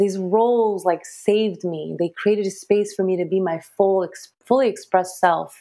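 A woman at medium pitch, moderate pace and ordinary pitch variation. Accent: American. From Los Angeles, Saudi Arabian background. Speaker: relationship coach and psychotherapist. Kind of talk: casual interview chat.

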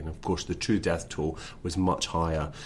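A man speaks with a Scottish accent. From west of Scotland, Lanarkshire. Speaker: author. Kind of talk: interview.

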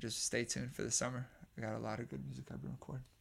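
In a Bay Area accent, a man speaks at a medium pitch on a very clean recording with a silent background. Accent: Bay Area American English. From Oakland, California (moved from Bosnia at four). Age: 20s. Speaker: musician. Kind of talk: casual chat. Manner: laughs often.

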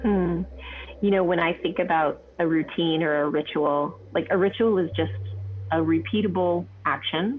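A woman's fairly low voice with very wide pitch swings and very even loudness, at a moderate pace, amid noticeable background noise. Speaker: guest, parent. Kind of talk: casual chat.

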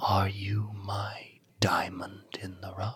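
A man puts on a creaky, gravelly, raspy character voice at a fairly low pitch, speaking at a very slow pace. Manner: ominous, grand.

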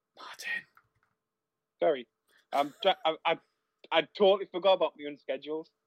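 Speaking at a moderate pace with long, frequent pauses, a man sounds dry and close with no echo. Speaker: wrestling podcast co-host. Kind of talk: casual chat. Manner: rambling, repeats words.

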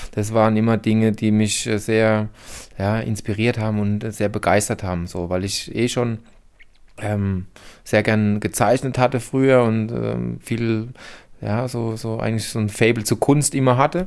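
In a very clean recording with a silent background, a man with a fairly low voice speaks at a fairly slow pace with fairly even intonation. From Heidelberg, Germany. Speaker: former graffiti artist. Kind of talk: interview. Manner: hesitant with fillers.

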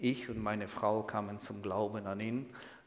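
In a room with audible echo, a man at medium pitch speaks at a fairly slow pace. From Ukraine, Kyiv. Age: 60s. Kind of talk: sermon-style lecture; interview.

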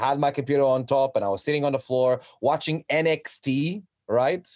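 A man with a Portuguese accent, fairly high-pitched, at a fairly quick pace. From Portugal. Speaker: professional wrestler. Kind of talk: casual chat.

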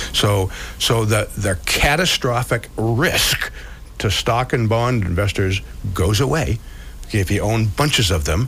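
The voice keeps very even loudness at a fairly slow pace, with lively intonation. Noticeable background noise is heard. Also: man, fairly low pitch for a man. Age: 70s. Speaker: financial advisor and radio host. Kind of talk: financial talk radio. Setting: radio studio.

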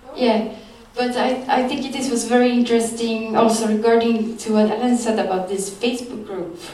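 A woman talks at a moderate pace with a fairly high pitch. Her intonation is monotone and flat, and noticeable background noise runs underneath. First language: Swedish. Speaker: journalist. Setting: stage with audience.

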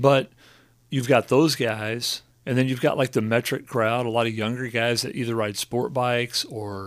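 A man speaks at a moderate pace in a plain, everyday voice. The recording is very clean, with a silent background. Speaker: church pastor. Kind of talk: casual podcast interview. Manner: relaxed, joking.

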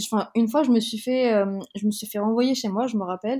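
Recorded dry and close with no echo, a woman with a fairly high pitch and a dark, mellow tone talks at a fairly quick pace with ordinary pitch variation. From Madagascar (from age 6 to 16), early childhood Marseille. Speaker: podcast guest. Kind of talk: casual interview. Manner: hesitant, many fillers.

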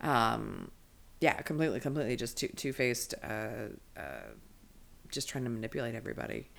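Long, frequent pauses break up the speech. It comes at a fairly quick pace in an American accent. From Maryland, Chesapeake Bay area. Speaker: stand-up comedian. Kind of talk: casual chat.

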